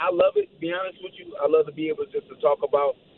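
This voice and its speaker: There is noticeable background noise. A man speaks with an American accent. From St. Louis, Missouri, US. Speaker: MMA fighter. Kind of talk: radio interview.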